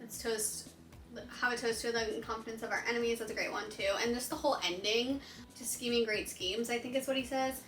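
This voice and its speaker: With audible room echo, a woman speaks very fast in a high pitch and an animated tone. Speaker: booktuber. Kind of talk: casual chat. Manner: rambling, hesitant with many fillers.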